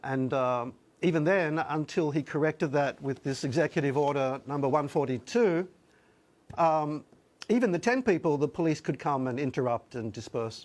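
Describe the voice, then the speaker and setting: Here a man with an Australian accent has a fairly high pitch and ordinary pitch variation at a moderate pace. The background is quiet. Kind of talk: TV news interview.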